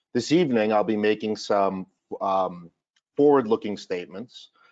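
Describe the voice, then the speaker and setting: At a moderate pace, a man with a Massachusetts accent speaks at a fairly low pitch with ordinary pitch variation. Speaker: financial advisor. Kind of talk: webinar presentation. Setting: online webinar.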